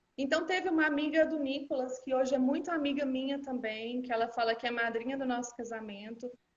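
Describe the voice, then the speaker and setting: A high-pitched woman with ordinary pitch variation and audible room echo. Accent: Minas Gerais. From Minas Gerais, Brazil (Uberlândia). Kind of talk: personal testimony in a live interview.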